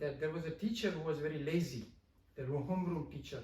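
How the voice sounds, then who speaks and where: There is audible room echo around a man whose fairly high, somewhat breathy voice has ordinary pitch variation. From India. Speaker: professor. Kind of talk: interview. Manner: halting, many fillers.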